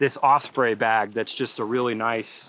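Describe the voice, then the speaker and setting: A man with a medium pitch is heard in a very clean recording with a silent background. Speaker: landscape photographer and youtuber. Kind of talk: vlog tutorial outdoors. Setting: outdoors at sunset. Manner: rushed, fast.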